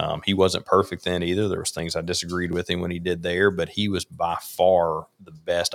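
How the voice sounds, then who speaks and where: A man talks in a Mississippi accent with a very deep, low pitch. His intonation stays monotone and flat at a fairly quick pace. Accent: US Southern (Mississippi). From Mississippi, Rankin County. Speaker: conservative political advocate. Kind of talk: casual chat. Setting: livestream.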